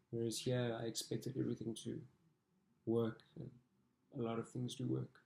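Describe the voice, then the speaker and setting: Medium-pitched male voice, dark and mellow, somewhat breathy, with monotone, flat intonation at a moderate pace. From South Africa. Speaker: international student athlete. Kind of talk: interview testimony.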